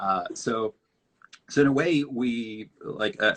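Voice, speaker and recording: A man with a Mexican accent speaks in a bright, sharp tone. The sound is dry and close with no echo, over a quiet background. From northern Mexico border town. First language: Spanish. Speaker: designer. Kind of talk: interview on a live stream. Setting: video live stream. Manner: halting, many fillers.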